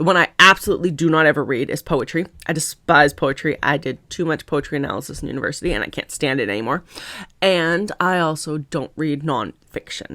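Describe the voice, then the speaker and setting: An animated woman with a Canadian accent, a fairly low pitch, a bright, sharp tone and lively intonation, in a very clean recording with a silent background. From Canada, Ontario (Lake Erie island). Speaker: author. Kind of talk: casual vlog talk. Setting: sitting at desk. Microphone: new microphone.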